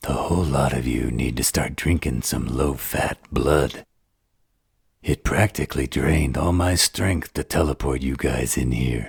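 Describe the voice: Using a put-on character voice, a man speaks raspy and very deep, with low pitch. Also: moderate pace.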